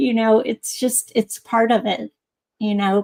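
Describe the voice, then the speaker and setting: A woman with a fairly high pitch and a somewhat breathy voice speaks at a fairly slow pace, in a dry, close sound with no echo. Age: 60s. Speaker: poet. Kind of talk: panel discussion.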